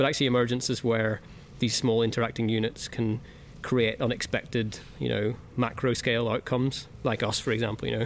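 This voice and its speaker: A man with a Northern Irish accent, medium in pitch, monotone and flat in intonation, with vocal fry, very even loudness and a fairly quick pace. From Northern Ireland. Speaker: music producer. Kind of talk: interview. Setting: music venue. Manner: hesitant, many fillers.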